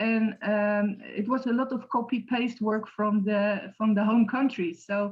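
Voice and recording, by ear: A woman speaks at a medium pitch and a fairly slow pace, with fairly even intonation.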